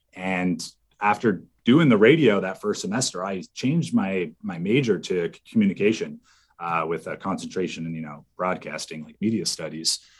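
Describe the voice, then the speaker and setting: A man speaks at a fairly low pitch and a moderate pace, with lively intonation. He has a normal speaking voice. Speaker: former college radio DJ and program director. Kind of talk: casual interview chat.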